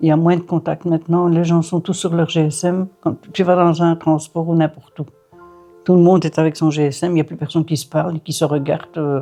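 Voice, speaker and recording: Against music in the background, a woman talks at a fairly quick pace in a monotone, flat intonation. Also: fairly low pitch for a woman. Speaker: grandmother. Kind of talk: casual chat.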